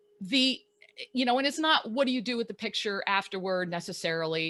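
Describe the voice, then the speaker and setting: Loud and at a fairly quick pace, a woman talks in an animated tone that is bright and sharp. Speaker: life coach and photographer. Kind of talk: casual chat. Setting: live video stream. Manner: animated, loud.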